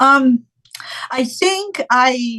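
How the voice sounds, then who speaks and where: Her tone bright and sharp, a woman with a Japanese accent speaks at a high pitch. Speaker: professional saxophonist and music educator. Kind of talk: interview. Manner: halting, many fillers.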